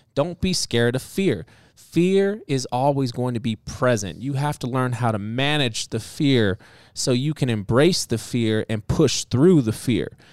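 A man with a plain, everyday voice speaks at a fairly slow pace, medium in pitch but lively in intonation. The recording is very clean, dry and close, with no echo and a silent background. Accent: American. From US inner city. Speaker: podcast co-host and chef. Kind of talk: casual chat.

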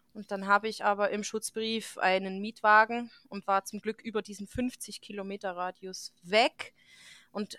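Bright and sharp in tone, a woman talks at a fairly slow pace in a medium pitch, with a dry, close sound with no echo and a very clean recording over a silent background. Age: 30s. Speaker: veterinarian, podcast host. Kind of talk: casual chat.

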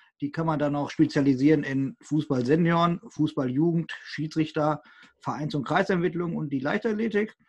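This man has an unremarkable speaking voice, fairly high in pitch with ordinary variation. He speaks at a moderate pace against a quiet background. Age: 20s. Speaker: co-host, regional football youth committee PR volunteer. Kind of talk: casual podcast chat.

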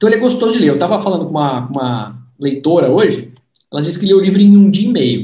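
A man's high-pitched, dark, mellow voice at a very fast pace, with very wide pitch swings and audible room echo. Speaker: sales trainer and book author. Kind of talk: book launch livestream interview. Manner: animated.

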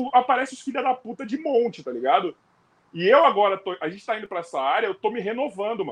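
A man's high-pitched voice racing at a very fast pace, with very wide pitch swings. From Rio de Janeiro, Brazil. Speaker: podcast host, former basketball player. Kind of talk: casual chat. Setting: live stream.

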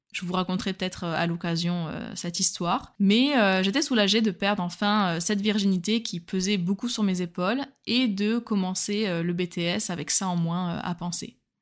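In an ordinary speaking voice, a woman talks at a moderate pace and medium pitch with ordinary pitch variation, on a very clean recording with a silent background. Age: 20s. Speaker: solo dating podcaster. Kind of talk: personal storytelling narration.

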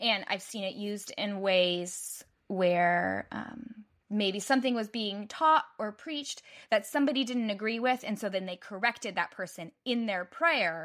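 An animated, bright, sharp voice with an American accent moves at a fairly slow pace on a very clean recording with a silent background. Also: woman. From United States. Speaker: website designer and mother. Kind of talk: casual chat.

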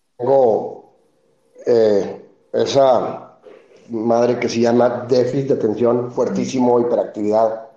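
A man speaks at a very slow pace with very even loudness. Audible room echo surrounds his voice. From Mexico City. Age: 40s. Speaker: beer company founder. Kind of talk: interview. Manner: halting, with many repetitions.

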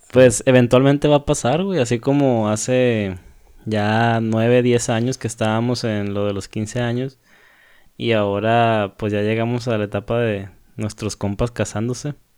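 A plain, everyday voice moves at a fairly slow pace. Its intonation is fairly even. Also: man, medium pitch for a man. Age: 20s. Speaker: podcast co-host. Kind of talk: casual chat. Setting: remote recording from separate homes.

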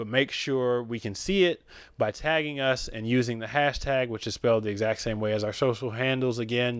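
This man has a plain, everyday voice at a medium pitch and speaks at a fairly quick pace. The recording is very clean, with a silent background. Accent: American. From Detroit area, Michigan. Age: 20s. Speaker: podcast co-host. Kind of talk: casual chat.

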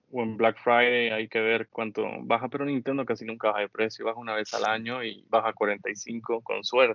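A man with a normal speaking voice, medium pitch and fairly even intonation at a fairly slow pace. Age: 30s. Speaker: podcast host. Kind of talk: casual chat.

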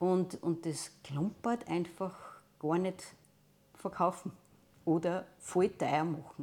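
A woman's fairly low voice, fairly even in intonation, at a very slow pace with long, frequent pauses, on a very clean recording with a silent background. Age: 60s. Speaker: teacher. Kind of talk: interview testimony.

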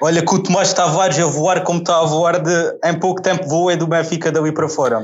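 A man's high-pitched voice at a fairly quick pace, with very even loudness and fairly even intonation, amid noticeable background noise and audible room echo. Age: 30s. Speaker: football fan guest. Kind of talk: casual chat.

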